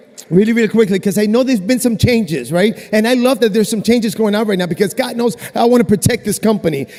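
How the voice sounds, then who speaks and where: Over noticeable background noise, a man talks very fast in a high pitch with an animated tone and ordinary pitch variation. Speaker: network marketing distributor. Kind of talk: convention stage testimony. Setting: stage with audience.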